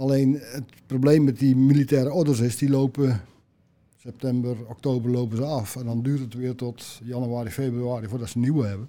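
A man speaks at a fairly quick pace with a medium pitch. His tone is dark and mellow, and his intonation fairly even. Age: 60s. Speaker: job seeker. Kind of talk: interview.

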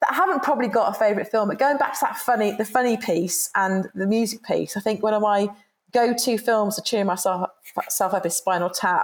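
With a British accent, a woman talks at a fairly quick pace and ordinary pitch variation. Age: 50s. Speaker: employee engagement consultant. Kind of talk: interview.

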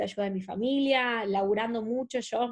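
A woman's plain, everyday voice, fairly high in pitch, with fairly even intonation at a moderate pace against a quiet background. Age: 20s. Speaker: makeup artist and actress. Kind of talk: casual interview.

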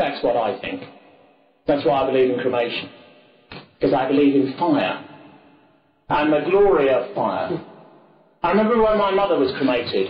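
A man's fairly high voice with an English accent, at a moderate pace, with long, frequent pauses and very wide pitch swings. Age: 40s. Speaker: political speaker. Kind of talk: lecture. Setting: stage with audience.

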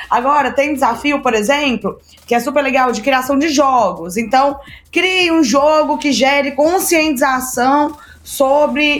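Her voice sits high, and this woman's pitch varies in an ordinary way. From Brazil, Minas Gerais. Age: 20s. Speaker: startup mentor and entrepreneur. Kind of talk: casual interview.

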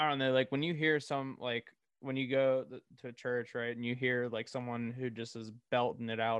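A man's medium-pitched, monotone voice with flat intonation at a moderate pace. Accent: American. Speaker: podcast host. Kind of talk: casual interview chat.

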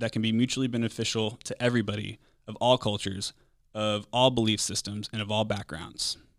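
This man speaks at a fairly quick pace and a medium pitch, his intonation fairly even. The recording is very clean, with a silent background. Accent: American. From Texas. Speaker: political podcast host. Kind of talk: solo podcast monologue. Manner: hesitant with fillers.

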